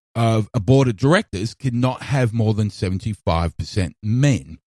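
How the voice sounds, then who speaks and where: The sound is dry and close, with no echo. A man talks in a somewhat breathy voice. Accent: Australian. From Australia. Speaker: podcast host. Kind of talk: opinion monologue.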